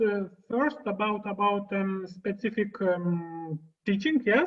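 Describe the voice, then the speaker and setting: A woman speaks with a Lithuanian accent at a very slow pace. Her voice is somewhat breathy. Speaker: occupational therapist. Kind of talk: Q&A on a video conference. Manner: halting, many fillers.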